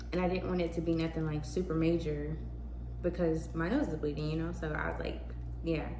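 Noticeable background noise sits behind a woman's voice. Her pitch is very deep and low, and her intonation fairly even. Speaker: vlogger. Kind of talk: casual vlog monologue. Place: home room. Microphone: phone near.

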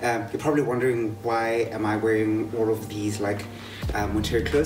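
A man at a fairly quick pace, with clear music in the background. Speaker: fitness instructor. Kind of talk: workout tutorial. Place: garden. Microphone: camera far.

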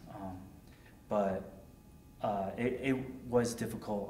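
A man with an American accent speaks at a fairly low pitch in a monotone, flat intonation. There is audible room echo and light background noise. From Connecticut, Hartford area; Connecticut. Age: 20s. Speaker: war veteran. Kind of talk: oral history interview. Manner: halting, many fillers. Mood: calm, reflective. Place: home room.

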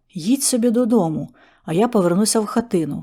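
In a put-on, growling character voice, a woman talks very fast with lively intonation and a fairly high pitch, on a very clean recording with a silent background. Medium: read story.

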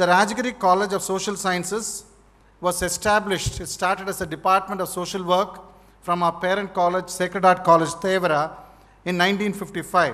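Flat and monotone, a man with a high pitch speaks at a moderate pace. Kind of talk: formal speech. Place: hall. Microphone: podium.

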